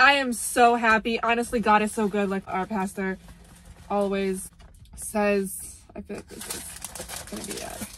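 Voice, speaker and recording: A fairly slow pace and a dry sound with no echo. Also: woman. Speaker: vlogger. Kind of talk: casual vlog chat. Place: car. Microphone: phone near.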